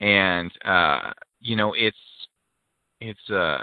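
Speaking with an American accent, a man keeps a fairly low pitch with ordinary variation. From US Pacific Northwest, rural. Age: 30s. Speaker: singer-songwriter and navy veteran. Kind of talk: interview.

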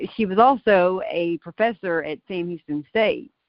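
In an ordinary speaking voice, a woman talks at a fairly slow pace with lively intonation. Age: 40s. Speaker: mother of a daughter in a custody case. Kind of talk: casual chat.

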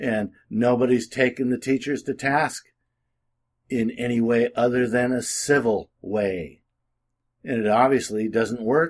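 A man's plain, everyday voice at medium pitch, fairly slow with fairly even intonation, on a very clean recording with a silent background. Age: 60s. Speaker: political commentator and legal advisor. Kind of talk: casual monologue. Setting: at home with window open.

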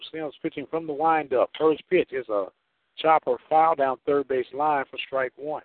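The man has a fairly high pitch. He speaks at a fairly slow pace. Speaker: radio co-announcer. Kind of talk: live baseball commentary. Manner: brisk, animated play-by-play.

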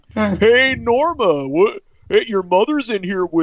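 The voice is a put-on character. Its pace is fairly slow. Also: man, high pitch for a man. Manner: cheesy, over-the-top.

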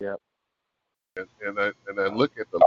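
At a fairly slow pace, a man speaks with an American accent. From rural US. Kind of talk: radio discussion.

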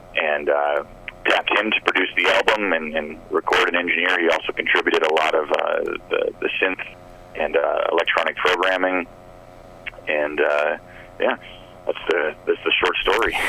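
A man with an American accent talks at a moderate pace, leaving long, frequent pauses. His loudness stays very even over noticeable background noise. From Phoenix, Arizona. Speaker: rock band musician. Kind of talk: radio interview. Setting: phone call. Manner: halting, self-deprecating.

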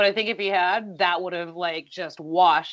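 A woman with an unremarkable speaking voice talks at a fairly quick pace and a fairly low pitch. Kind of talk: casual podcast recap.

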